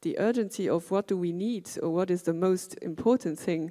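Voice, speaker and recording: A woman speaks at a fairly slow pace with a fairly low pitch and a dark, mellow tone. The recording is very clean, with a silent background. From Luxembourg. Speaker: educator. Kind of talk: panel discussion.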